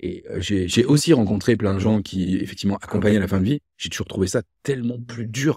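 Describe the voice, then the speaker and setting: The man's voice is fairly low, dark and mellow, and somewhat breathy, with ordinary pitch variation. He keeps a moderate pace against a quiet background. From France, Loire (Rive-de-Gier, between Saint-Étienne and Lyon); France. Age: 50s. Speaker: entrepreneur; guest. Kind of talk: casual interview conversation. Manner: hesitant, repeated words. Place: home room.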